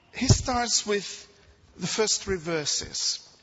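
Over noticeable background noise, a man with a non-native accent speaks with lively intonation. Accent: foreign-accented English. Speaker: preacher. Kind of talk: sermon. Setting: church.

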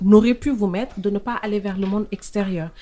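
A woman with a fairly high pitch speaks at a moderate pace. Her voice is somewhat breathy. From Senegal, Saint-Louis. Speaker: podcast host. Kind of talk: interview.

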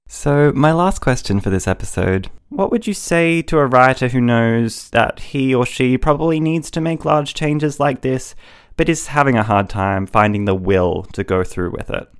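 A man with an Australian accent at a moderate pace with hardly any pauses, on a very clean recording with a silent background. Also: medium pitch for a man, lively intonation. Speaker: podcast host and writer. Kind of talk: scripted intro and casual panel discussion.

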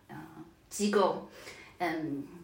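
Medium-pitched female speech in audible room echo. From Shanghai, China. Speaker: data professional. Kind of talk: casual interview.

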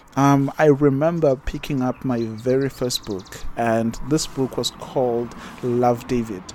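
A man's medium-pitched voice at a fairly slow pace, with fairly even intonation and noticeable background noise. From South Africa, Durban area (KwaZulu-Natal). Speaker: podcast host. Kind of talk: casual monologue. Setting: outdoors.

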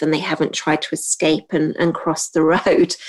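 A woman speaks with a British accent. She keeps a moderate pace. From Hong Kong. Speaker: podcast host and trainer for admin professionals. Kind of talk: solo podcast monologue. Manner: frequent filler um.

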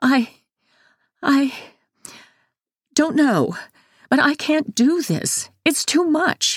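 A woman speaks very slowly in a put-on character voice, high-pitched with big pitch swings. The sound is dry and close with no echo, on a very clean recording with a silent background.

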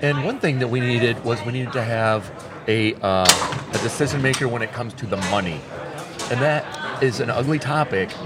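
Amid noticeable background noise and audible room echo, a man with an American accent speaks with ordinary pitch variation. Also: medium pitch for a man, moderate pace. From New York. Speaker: tournament organizer and foosball player. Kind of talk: casual interview. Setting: on location at a tournament hotel.

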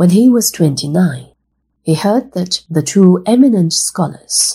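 Speaking at a very slow pace, a woman uses a gentle, warm tone that is also dark and mellow, somewhat breathy, with lively intonation. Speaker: storyteller. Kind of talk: children's story narration. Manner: warm, clear and measured, explaining to kids; formal, gentle and instructive.

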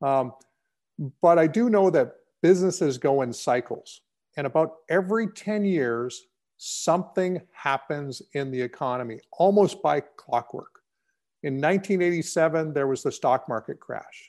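Against a quiet background, a man with an ordinary speaking voice talks at a fairly slow pace, his pitch fairly high and his intonation lively. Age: 50s. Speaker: real estate company founder. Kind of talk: interview.

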